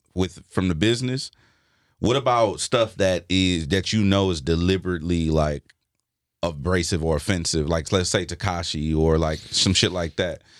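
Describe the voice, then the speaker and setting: A man with an American accent speaks at a moderate pace with a very deep, low pitch and ordinary pitch variation. The recording is very clean, with a silent background. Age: 30s. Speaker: hip hop podcast co-host, DJ. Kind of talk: podcast interview. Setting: studio. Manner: casual slangy.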